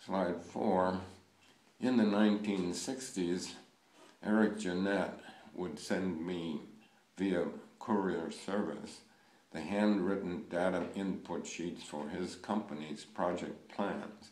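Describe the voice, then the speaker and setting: Through audible room echo, a man with a very deep, low pitch speaks at a very slow pace with long, frequent pauses and fairly even intonation. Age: 90s. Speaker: project management pioneer, speaker. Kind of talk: recorded presentation with slides. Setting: remote recorded talk for audience. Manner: formal.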